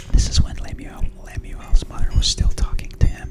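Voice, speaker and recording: A woman whispers in a soothing tone over noticeable background noise. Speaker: ASMR creator and mother. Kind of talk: reading study notes about the chapter. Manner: whispered, soothing.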